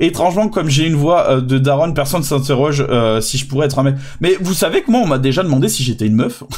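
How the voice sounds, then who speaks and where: A man's fairly high, somewhat breathy voice with lively intonation at a fairly quick pace. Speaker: VTuber streamer. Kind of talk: casual reaction stream commentary. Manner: hesitant, many repetitions and fillers.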